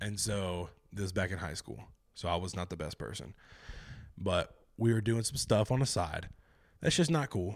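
A man at a moderate pace and fairly low pitch, with lively intonation and long, frequent pauses. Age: 20s. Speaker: podcast host. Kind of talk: casual chat. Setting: video call.

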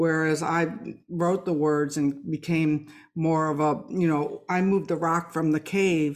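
Very deep, low pitch from a woman, monotone and flat, on a very clean recording with a silent background. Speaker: podcast host and author. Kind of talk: casual interview.

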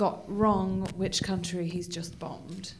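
This woman's voice comes across as somewhat breathy. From Wales. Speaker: comedian. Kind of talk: casual chat.

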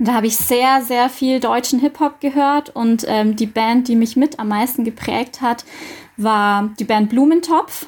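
A woman talks fairly slowly in a high voice, her pitch moving in an ordinary way. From Bavarian Swabia (Dillingen district). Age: 30s. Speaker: school social worker. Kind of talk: radio interview.

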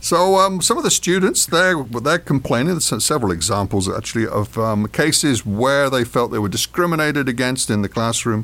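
A man's medium-pitched voice with an English accent, very wide pitch swings, a fairly quick pace and hardly any pauses. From England. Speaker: podcast co-host. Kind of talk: casual chat.

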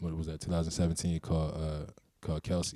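Here a man speaks at a fairly quick pace. His pitch is very deep and low, with a dark, mellow tone. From Baltimore (Cherry Hill), US. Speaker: recording artist. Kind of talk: casual interview.

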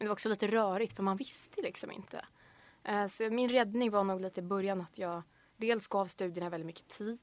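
At a moderate pace, a woman with a medium pitch and fairly even intonation speaks in a normal speaking voice. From Swedish west coast, Bohuslän. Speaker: university student. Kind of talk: casual chat.

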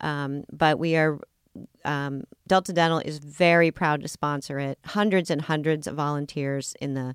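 A woman with an American accent speaks at a moderate pace in a very deep, low voice with fairly even intonation. The sound is dry and close with no echo, in a very clean recording with a silent background. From US Pacific Northwest (Seattle). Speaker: health insurance executive. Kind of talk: interview. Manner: hesitant, many fillers.

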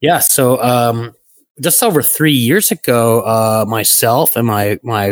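In a very clean recording with a silent background and a dry, close sound with no echo, a man speaks at a medium pitch with ordinary pitch variation. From Brooklyn, New York. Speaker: networking industry executive. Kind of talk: interview conversation.

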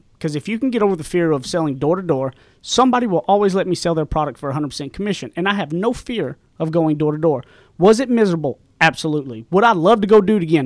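On a very clean recording with a silent background, a man with a Southern US accent talks at a very fast pace, his pitch high and his intonation lively. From East Texas, rural. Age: young. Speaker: podcast co-host, author, salesman. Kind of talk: casual chat. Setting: studio.

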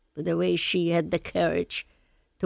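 Someone with a Polish accent speaks at a moderate pace in a dry, close sound with no echo, on a very clean recording with a silent background. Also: woman. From Lublin, Poland. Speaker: Holocaust survivor. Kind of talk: interview, recounting personal testimony. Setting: studio.

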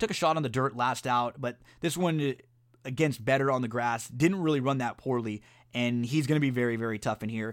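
A man speaks in a plain, everyday voice at a fairly quick pace and medium pitch, with ordinary pitch variation. The recording is very clean, with a silent background. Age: 30s. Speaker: sports podcast host. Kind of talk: solo podcast monologue on sports and horse racing picks. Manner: casual, conversational with fillers.

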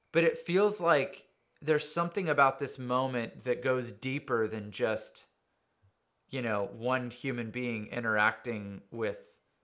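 Fairly slow, lively man's voice at medium pitch, recorded very cleanly over a silent background. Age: 30s. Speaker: musician. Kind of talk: casual chat.

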